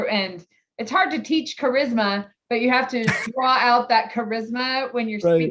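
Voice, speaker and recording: A woman talks in an ordinary speaking voice. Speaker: podcast host. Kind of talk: podcast interview.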